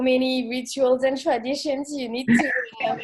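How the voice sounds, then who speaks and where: A woman speaks in a French accent at a high pitch. Her pace is moderate. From France. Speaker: expat coach. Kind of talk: casual chat. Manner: halting.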